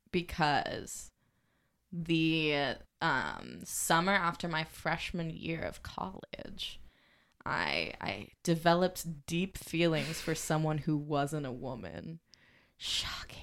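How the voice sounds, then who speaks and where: A woman with a very deep, low pitch and vocal fry speaks at a very slow pace with ordinary pitch variation, in a very clean recording with a silent background. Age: 20s. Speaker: podcast guest, climate activist. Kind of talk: casual chat. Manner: halting.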